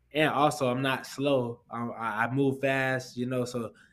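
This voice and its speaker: At a moderate pace, a man with a medium pitch and an American accent talks in a monotone, flat intonation. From Orlando, Florida. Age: 20s. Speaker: professional boxer. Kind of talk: casual interview.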